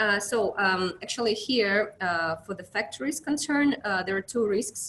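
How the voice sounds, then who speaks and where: Lively intonation marks this woman's speech. Her pace is moderate. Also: medium pitch for a woman. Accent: Russian. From Russia. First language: Russian. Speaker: account manager at an inspection company. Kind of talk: webinar presentation. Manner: halting, many fillers.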